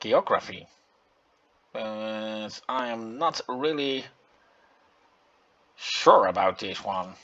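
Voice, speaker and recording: Someone with a Dutch accent talks with ordinary pitch variation while music plays in the background. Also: man. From Netherlands. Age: 40s. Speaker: gaming YouTuber. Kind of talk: game commentary. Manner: halting, many fillers.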